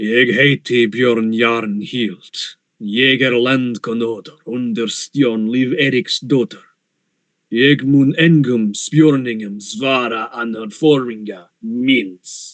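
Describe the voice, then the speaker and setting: A booming put-on character voice speaks at a very slow pace. The intonation stays fairly even. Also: man, medium pitch for a man. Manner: imposing, commanding.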